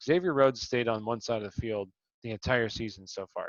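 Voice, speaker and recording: An ordinary speaking voice from a man at a fairly quick pace, with ordinary pitch variation. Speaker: fantasy sports show host. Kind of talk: casual sports analysis chat.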